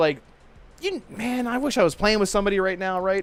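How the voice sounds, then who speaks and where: In an animated tone, a man with an American accent speaks at a fairly quick pace. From Maryland, US. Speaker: gaming podcast host. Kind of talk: casual chat.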